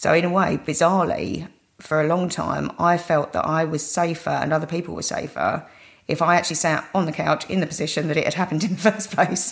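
In a British accent, a woman talks fairly quickly with a fairly low pitch and flat, monotone intonation. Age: 40s. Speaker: cardiac arrest survivor. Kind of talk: interview testimony.

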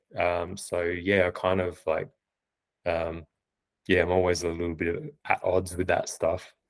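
Speaking with an Australian accent, a man with a very deep, low pitch talks at a fairly slow pace with long, frequent pauses and fairly even intonation, in a very clean recording with a silent background. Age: 40s. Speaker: freelance copywriter. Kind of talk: casual interview chat. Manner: hesitant, many fillers.

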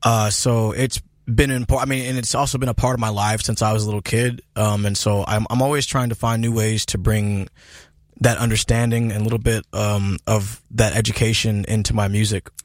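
A man's medium-pitched voice, fairly slow and monotone, with flat intonation. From US Pacific Northwest, Seattle. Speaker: blues rock musician. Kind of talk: interview. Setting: studio.

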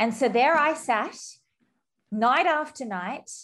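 A woman with an Australian accent talks at a fairly slow pace in an animated, dramatic tone, her pitch swinging very widely. The background is quiet. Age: 30s. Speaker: podcaster and wedding guest interviewee. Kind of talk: casual interview chat. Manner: animated, dramatic, laughs often.

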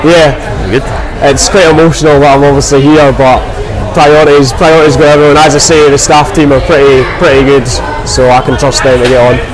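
Amid noticeable background noise and audible room echo, a man with a Scottish accent speaks at a fairly quick pace in a fairly high pitch with ordinary pitch variation. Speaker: agricultural contractor and young farmers regional chair. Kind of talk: casual interview. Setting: busy tent at an agricultural show.

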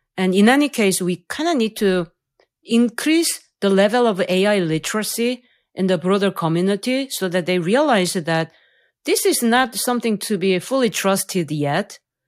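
With a Korean accent, a woman speaks at a moderate pace in a medium pitch with lively intonation, on a very clean recording with a silent background. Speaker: AI researcher and professor. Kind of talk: interview, explanatory conversation. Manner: hesitant, uses fillers.

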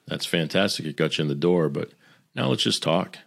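A man with an American accent talks at a very fast pace in a very deep, low pitch with vocal fry and ordinary pitch variation. The recording is very clean, with a silent background. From Boston area, US. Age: 50s. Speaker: business executive and former sound engineer. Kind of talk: interview conversation.

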